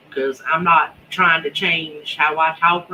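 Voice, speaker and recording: A woman with a Southern accent, fairly low in pitch and very slow, over noticeable background noise. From coastal North Carolina. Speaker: homesteading YouTuber. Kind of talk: live stream chat. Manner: casual.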